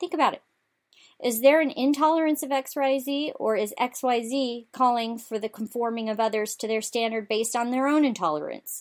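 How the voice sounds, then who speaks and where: A woman's loud, high voice at a fairly quick pace, with ordinary pitch variation. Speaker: political talk show host. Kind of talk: political commentary monologue.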